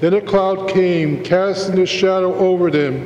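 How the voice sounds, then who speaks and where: The speech comes at a very slow pace against noticeable background noise. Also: man. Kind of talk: scripture reading and prayers of the faithful. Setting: church.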